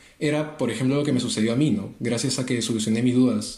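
In a room with audible echo, a man speaks fairly quickly at a medium pitch with fairly even intonation. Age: 20s. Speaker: apologetics co-presenter, industrial engineer. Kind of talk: casual religious discussion.

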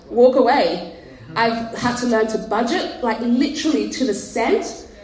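Over noticeable background noise, a woman with an Australian accent speaks at a fairly high pitch and a moderate pace, her intonation lively. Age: 30s. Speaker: pastor. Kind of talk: casual chat. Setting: stage with audience.

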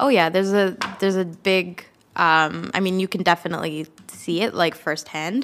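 With a Canadian accent, a woman talks at a moderate pace in a fairly low voice with ordinary pitch variation. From Canada. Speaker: recent graduate. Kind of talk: interview. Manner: outgoing.

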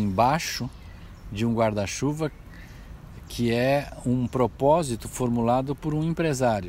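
The man talks at a fairly slow pace and a medium pitch. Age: 60s. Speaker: business consultant, former executive. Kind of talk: personal reflection monologue. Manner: halting, with many fillers.

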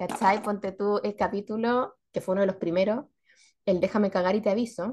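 With a Chilean accent, a woman talks at a moderate pace in a medium pitch with fairly even intonation. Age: 40s. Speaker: podcast co-host. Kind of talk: casual chat.

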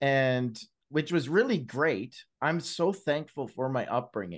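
A man with a Canadian accent and a plain, everyday voice, fairly high-pitched, fairly slow and lively in intonation, over a quiet background. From Canada, British Columbia and Alberta. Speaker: Celebrate Recovery leader and Bible-reading content creator. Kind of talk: casual chat, testimony.

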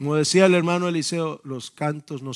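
A man speaks at a fairly slow pace. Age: 50s. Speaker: pastor. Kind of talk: sermon. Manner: halting.

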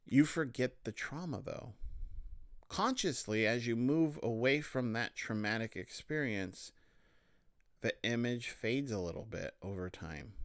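In a very clean recording over a silent background, a man with a normal speaking voice talks at a fairly slow pace, his pitch medium and his intonation lively. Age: 30s. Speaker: podcast host, associate marriage and family therapist. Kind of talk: solo podcast monologue.

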